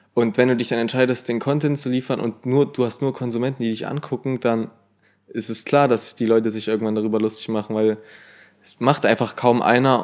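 Over a very clean recording with a silent background, a man of medium pitch talks at a fairly quick pace in a monotone, flat delivery. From Germany, small village. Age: 20s. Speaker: social media creator. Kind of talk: casual chat.

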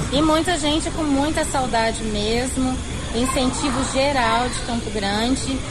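A woman's high-pitched voice with ordinary pitch variation at a fairly slow pace, amid noticeable background noise and audible room echo. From Mato Grosso do Sul, Brazil (Três Lagoas). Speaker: ice cream shop owner. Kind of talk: radio interview.

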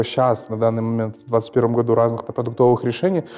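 Over music in the background, a man speaks at a fairly quick pace with a medium pitch and fairly even intonation. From Kazakhstan. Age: 20s. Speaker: mortgage borrower sharing experience. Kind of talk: casual chat.

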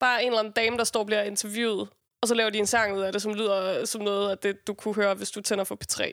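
At a very fast pace, a woman talks in a monotone, flat intonation. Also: fairly high pitch for a woman. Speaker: rapper. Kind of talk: casual chat.

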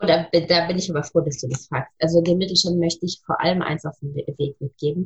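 The speaker is a woman. Her voice is fairly low and somewhat breathy. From Munich, Bavaria. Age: 40s. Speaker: chamber of commerce representative. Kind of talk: podcast interview.

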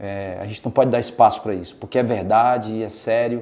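A man speaks in an unremarkable speaking voice. His pitch is fairly low and his intonation fairly even. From Brazil, Rio Grande do Norte (Natal). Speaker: real estate sales director. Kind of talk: interview.

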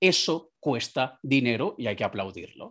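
This man speaks with very wide pitch swings over a quiet background. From Venezuela (Caracas). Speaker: entrepreneur, digital marketing consultant. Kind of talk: interview.

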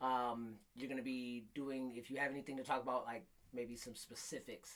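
A man with an American accent, an ordinary speaking voice, medium pitch, fairly even intonation and a moderate pace. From Michigan, Flint. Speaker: podcast host. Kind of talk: casual chat.

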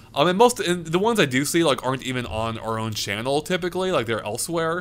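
A man talks at a fairly quick pace with very wide pitch swings. The recording is very clean, with a silent background. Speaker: gaming podcast co-host. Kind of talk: casual chat. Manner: halting, many fillers.

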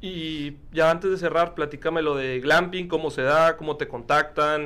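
This man's voice has a bright, sharp tone. His pitch sits fairly high. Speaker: podcast host. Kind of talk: casual interview chat.

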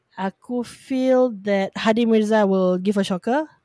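Lively intonation marks a woman's very slow delivery. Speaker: podcast co-host. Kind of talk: casual chat.

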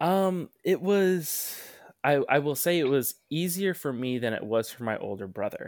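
In a plain, everyday voice with an American accent, the speaker talks at a fairly slow pace. The intonation is lively, and the recording is very clean with a silent background. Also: man, fairly high pitch for a man. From US Pacific Northwest (Tacoma, Washington); early childhood in Malaysia. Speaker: activist. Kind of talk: casual chat.

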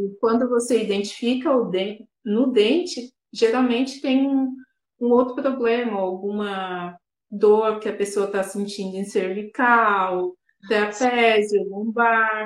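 A woman speaks very slowly in a fairly high voice, with ordinary pitch variation. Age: 30s. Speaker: dentist. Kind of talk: interview.

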